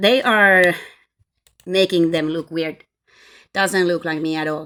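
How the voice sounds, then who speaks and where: A woman with a Finnish accent speaks very slowly in a fairly low voice with a bright, sharp tone and ordinary pitch variation, on a very clean recording with a silent background. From Finland. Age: 40s. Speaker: vlogger. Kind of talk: personal testimony. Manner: halting.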